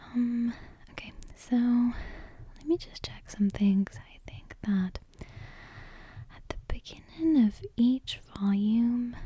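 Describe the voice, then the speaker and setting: The voice is soft-spoken and very slow. Long pauses come often. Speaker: ASMR creator. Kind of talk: casual ASMR intro chat. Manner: hesitant, many fillers.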